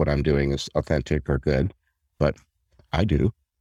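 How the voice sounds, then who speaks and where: With vocal fry, a man speaks in a dry, close sound with no echo. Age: 60s. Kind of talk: interview.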